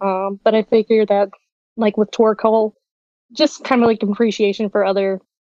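A woman with a Southern US accent and fairly even intonation. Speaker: community member. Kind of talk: casual chat. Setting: video call.

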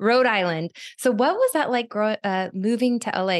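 Fairly high-pitched speech from a woman with an American accent and lively intonation, in a dry, close sound with no echo. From Arizona. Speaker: podcast host, former reality TV contestant. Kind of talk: casual interview chat. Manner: fast.

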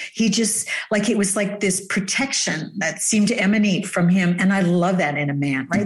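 Speaking at a moderate pace with a Canadian accent, a woman uses a normal speaking voice at a medium pitch. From Canada. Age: 50s. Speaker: dating coach. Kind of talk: casual chat.

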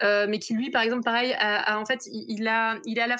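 In an ordinary speaking voice, the speaker talks at a fairly slow pace with fairly even intonation over a quiet background. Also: woman. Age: 20s. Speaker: literature PhD student. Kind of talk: interview.

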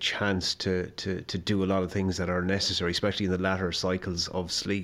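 With a western Irish accent, a man speaks fairly quickly in a very deep, low, monotone voice on a very clean recording with a silent background. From west of Ireland. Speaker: health scientist and sleep consultant. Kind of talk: casual interview. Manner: halting, repeats words.

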